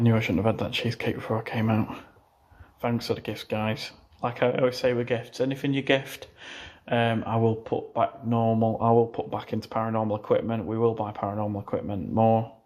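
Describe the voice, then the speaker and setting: A man talks quietly at a medium pitch and a fairly quick pace. His intonation is monotone and flat, on a very clean recording with a silent background. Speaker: paranormal investigator streamer. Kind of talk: live stream ghost hunt. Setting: outdoors, abandoned house at night. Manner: hushed, quiet.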